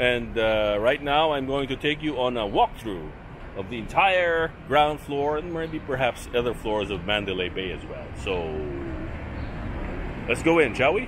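A man talks at a fairly slow pace while noticeable background noise carries on. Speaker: travel vlogger. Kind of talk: casual vlog chat. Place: street. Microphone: phone near.

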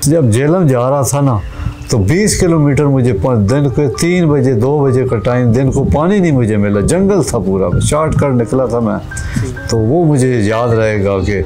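A man's voice with lively intonation over clear music in the background. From Khushab district, Punjab, Pakistan. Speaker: interviewee, political supporter. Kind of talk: interview answer. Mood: earnest, emotional devotion. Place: open country. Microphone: lapel.

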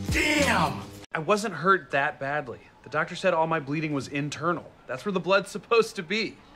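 Music plays in the background as a man talks. His pace is moderate and his intonation lively. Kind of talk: scripted comedy dialogue. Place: office.

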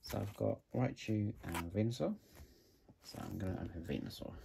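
Speech with a British accent at a moderate pace, against noticeable background noise. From UK. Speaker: YouTuber opening trading card packs. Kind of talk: casual vlog narration. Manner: hesitant, many fillers. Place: home room. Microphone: phone near.

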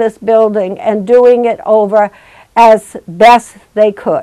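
The woman talks at a very slow pace, with the background quiet. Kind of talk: interview answer. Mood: proud, earnest. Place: office. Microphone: lapel.

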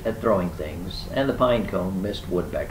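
The voice reads in an unforced way.

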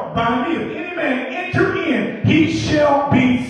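Strong room echo surrounds a man speaking at a very slow pace. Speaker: preacher, assistant pastor. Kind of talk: church sermon, preaching to congregation. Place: church.

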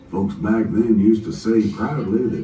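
A man's voice with audible room echo and faint music in the background. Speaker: train announcer. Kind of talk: scripted safety announcement. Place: train. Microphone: pa.

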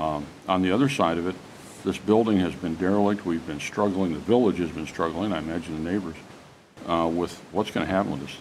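A man talks at a very fast pace in a very deep, low voice with ordinary pitch variation. His loudness swings widely over light background noise. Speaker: village trustee. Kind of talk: public meeting. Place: hall.

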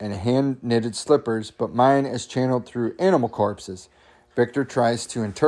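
Here the speech comes in an unforced reading voice.

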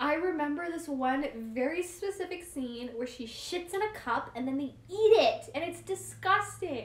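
Over faint background noise, a woman with a high pitch talks at a moderate pace, using lively intonation and few pauses.

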